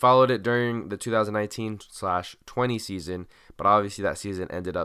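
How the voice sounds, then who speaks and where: On a very clean recording with a silent background, a man speaks at a moderate pace in a bright, sharp tone. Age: 20s. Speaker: podcast host. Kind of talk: solo late-night monologue. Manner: relaxed, casual.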